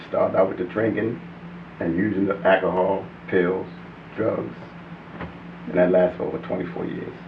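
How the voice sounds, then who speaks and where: A man's very deep, low voice at a moderate pace, with long, frequent pauses, ordinary pitch variation, audible room echo and noticeable background noise. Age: 50s. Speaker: recovering addict. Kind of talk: testimony.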